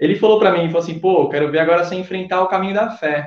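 A man with a high-pitched voice. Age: 20s. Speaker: photographer, former student. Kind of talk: casual interview, travel story.

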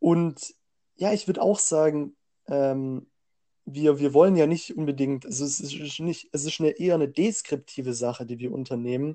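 Man with a fairly high pitch and a dark, mellow tone, moderate pace, ordinary pitch variation. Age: 20s. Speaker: podcast co-host. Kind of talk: casual chat.

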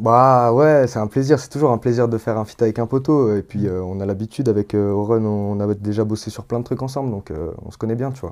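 At a medium pitch, a man talks fairly quickly with fairly even intonation but big swings in loudness, in a very clean recording with a silent background. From Lyon area, France (Villeurbanne). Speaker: rapper and sound engineer. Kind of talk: interview. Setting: home studio. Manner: casual, hesitant with fillers.

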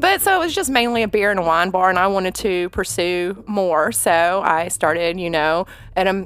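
Moving at a moderate pace, a woman speaks with a Southern US accent and lively intonation. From Atlanta, Georgia. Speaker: bartender. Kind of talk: casual chat.

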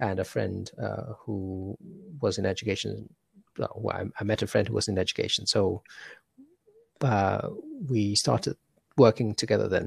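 Vocal fry runs through this man's fairly low voice, broken by long, frequent pauses. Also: fairly even intonation, moderate pace. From Hong Kong. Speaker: education entrepreneur. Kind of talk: casual interview. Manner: halting, many fillers.

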